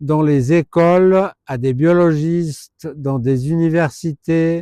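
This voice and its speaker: The sound is dry and close with no echo as a man speaks at a fairly high pitch with fairly even intonation. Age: 60s. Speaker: herpetologist. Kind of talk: informal presentation to camera. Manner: hesitant, many filler sounds.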